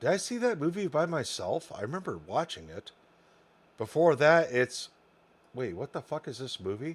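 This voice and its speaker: A man's fairly high-pitched voice with vocal fry, very wide pitch swings, big swings in loudness, and a moderate pace. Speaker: gaming streamer. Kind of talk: casual chat. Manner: slurred.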